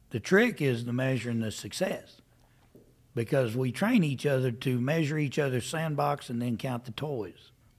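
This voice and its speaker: Medium in pitch, a man with a plain, everyday voice speaks at a moderate pace with ordinary pitch variation. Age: 60s. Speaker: livestock auctioneer. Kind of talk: interview answer.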